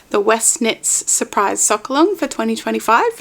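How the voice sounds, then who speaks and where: Noticeable background noise fills the clip. A woman with an Australian accent speaks at a fairly high pitch. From Australia, Melbourne. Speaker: knitting podcaster. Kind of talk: casual vlog chat. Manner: casual with fillers.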